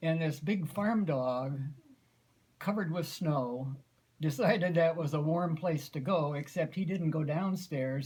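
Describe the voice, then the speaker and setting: Someone talks at a fairly slow pace in a Midwestern American accent, with ordinary pitch variation. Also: man. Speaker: grandfather. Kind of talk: family storytelling.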